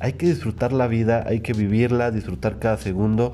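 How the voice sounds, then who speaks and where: With a dark, mellow tone, a man talks in a fairly low voice. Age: 20s. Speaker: podcast host. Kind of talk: casual chat.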